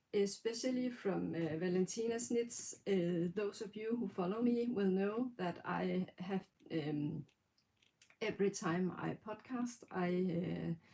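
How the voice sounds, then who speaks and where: Slowly and deliberately at a very slow pace, a woman with a Danish accent speaks at a medium pitch in a dark, mellow tone with ordinary pitch variation. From Denmark. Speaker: knitting podcaster. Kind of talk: casual livestream talk. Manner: halting, many fillers.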